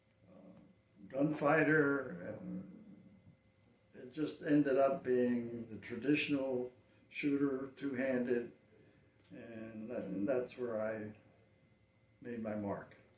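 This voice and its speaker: Amid noticeable background noise and audible room echo, a man with a medium-pitched voice speaks very slowly with long, frequent pauses, big swings in loudness and ordinary pitch variation. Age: 80s+. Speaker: veteran cowboy action shooter. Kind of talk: interview.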